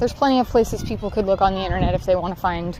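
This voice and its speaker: Against noticeable background noise, a woman with an American accent talks at a very fast pace, at medium pitch with ordinary pitch variation. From Southern California. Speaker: livestreamer. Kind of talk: casual chat. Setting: outdoors in a park.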